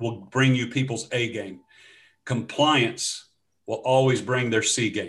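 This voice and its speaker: The speaker talks at a fairly slow pace in a Louisiana accent against a quiet background. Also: man. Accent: Louisiana Southern US. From US South. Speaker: former pastor, change management consultant. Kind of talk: interview conversation.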